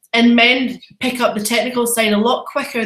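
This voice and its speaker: In a room with audible echo, a woman with a Scottish accent talks at a moderate pace in a bright, sharp tone. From Scotland, Edinburgh. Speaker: photographer and photography trainer. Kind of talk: webinar presentation. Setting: live online webinar. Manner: animated.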